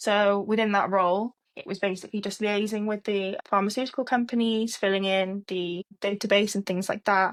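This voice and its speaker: A woman with a Cardiff accent talks at a moderate pace and medium pitch in a monotone, flat intonation, on a very clean recording with a silent background and a dry, close sound without echo. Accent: Welsh English, Cardiff. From Wales, Cardiff. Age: 20s. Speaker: trainee clinical scientist. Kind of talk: casual interview chat.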